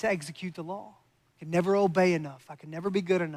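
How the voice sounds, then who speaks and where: A slight Kentucky accent at a very fast pace. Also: man. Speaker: pastor. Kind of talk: sermon.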